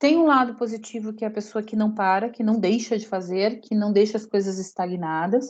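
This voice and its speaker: Fairly high in pitch, a woman's dark, mellow voice moves at a moderate pace with fairly even intonation. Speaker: lecturer. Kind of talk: lecture.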